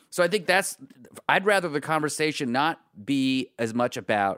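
A plain, everyday voice from a man, fairly quick and with lively intonation, dry and close with no echo, on a very clean recording against a silent background. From US, Pittsburgh. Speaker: panelist. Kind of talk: casual chat.

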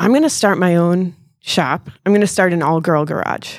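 A woman uses an ordinary speaking voice at a fairly low pitch. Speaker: auto repair shop owner. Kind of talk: casual interview chat. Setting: live event with mic.

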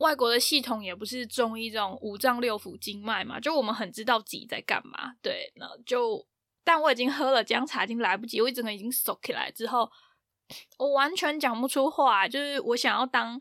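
A woman speaks at a fairly quick pace in a high pitch with a bright, sharp tone and big swings in loudness. The recording is very clean, dry and close, with no echo and a silent background. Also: ordinary pitch variation. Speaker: podcast host. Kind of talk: casual chat.

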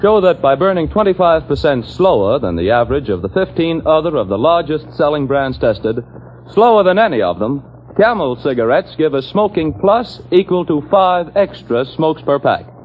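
Over noticeable background noise, a man with a fairly high pitch sounds upbeat, his pitch swinging very widely at a moderate pace. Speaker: commercial announcer. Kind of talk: old-time radio commercial, sales pitch. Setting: radio broadcast. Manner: brisk, polished, salesy announcer delivery; upbeat, emphatic, hard-sell.

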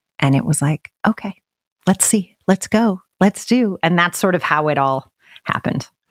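A woman with an American accent and an ordinary speaking voice, medium in pitch, lively in intonation, at a moderate pace, in a dry, close sound with no echo. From Utah, US. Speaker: business coach. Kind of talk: interview conversation.

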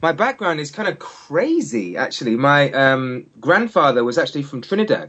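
In a London accent, the speaker moves at a moderate pace with hardly any pauses and very wide pitch swings. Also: man, fairly high pitch for a man. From England. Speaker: singer. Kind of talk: interview. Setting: phone call.

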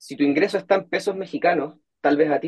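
The sound is dry and close, without any echo. A man talks at a fairly quick pace. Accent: Chilean. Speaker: portfolio manager. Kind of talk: interview.

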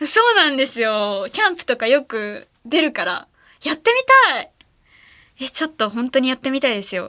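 This woman's voice is raised and projected, high-pitched, and animated, with very wide pitch swings. She talks at a fairly quick pace but leaves long, frequent pauses. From Ehime, Japan. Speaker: late-night radio host. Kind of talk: casual radio chat. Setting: radio studio. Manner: animated, laughs often.

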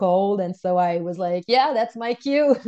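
Speaking with a Quebec accent, a woman talks at a fairly slow pace with a fairly low pitch and a dark, mellow tone. The sound is dry and close with no echo, and the background is quiet. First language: French. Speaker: wellness coach and unschooling mother. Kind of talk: interview storytelling.

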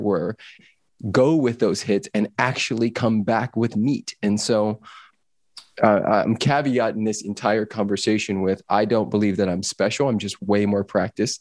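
A man with a Californian accent speaks at a moderate pace and fairly low pitch, the sound dry and close with no echo on a very clean recording with a silent background. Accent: Californian American English. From Los Angeles, US West Coast. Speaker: personal freedom coach. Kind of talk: casual interview chat. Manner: animated.

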